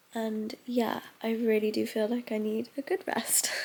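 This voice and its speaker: A woman speaks with a British accent. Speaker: lifestyle vlogger. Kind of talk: casual vlog talk to camera. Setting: bedroom at home. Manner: heavy breathing.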